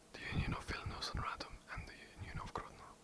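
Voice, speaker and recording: Someone whispers at a very fast pace over noticeable background noise. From England. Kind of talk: ASMR history narration. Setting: home recording, poor mic. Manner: whispered; hesitant, some stutters.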